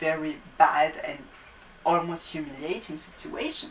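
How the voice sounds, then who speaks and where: Over noticeable background noise, a woman talks with a non-native accent. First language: not English. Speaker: YouTube talk show host. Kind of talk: casual talk to camera.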